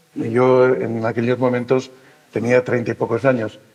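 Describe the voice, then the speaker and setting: A man at a moderate pace. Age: 60s. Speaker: senior association representative. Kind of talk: panel discussion. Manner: halting.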